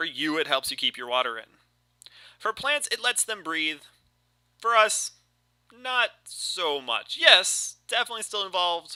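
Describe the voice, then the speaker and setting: A man speaks at a fairly slow pace with long, frequent pauses. The sound is dry and close with no echo. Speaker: biology teacher. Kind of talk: recorded review walkthrough for students. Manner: casual, halting with fillers.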